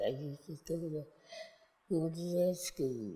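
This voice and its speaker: The speaker has an American accent and a dark, mellow, somewhat breathy tone. The pace is very slow, with ordinary pitch variation. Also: woman. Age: 80s+. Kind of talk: interview answer.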